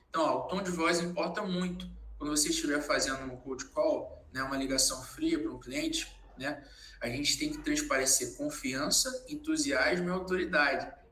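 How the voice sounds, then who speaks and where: A man keeps a moderate pace while noticeable background noise and audible room echo fill the recording. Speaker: sales trainer. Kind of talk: lecture.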